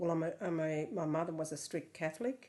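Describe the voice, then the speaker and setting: With an Australian accent, the speaker has a dark, mellow tone. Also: woman. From Yass, New South Wales, Australia. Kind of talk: documentary interview answer.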